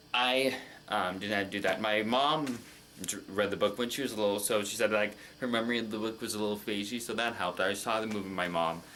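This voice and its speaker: A very fast male voice, fairly low in pitch, bright and sharp in tone, with fairly even intonation and audible room echo. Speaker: movie reaction youtuber. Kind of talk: casual monologue, movie review. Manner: halting.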